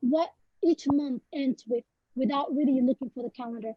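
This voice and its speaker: A fairly quick pace and fairly even intonation in a Somali accent. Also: woman. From Somalia. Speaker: poet. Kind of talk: panel interview. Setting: webinar video call. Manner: halting, many fillers.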